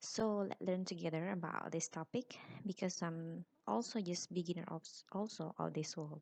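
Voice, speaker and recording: A woman's fairly low voice with an Indonesian accent and ordinary pitch variation, dry and close with no echo. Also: moderate pace. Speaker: university lecturer. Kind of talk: lecture. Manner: halting.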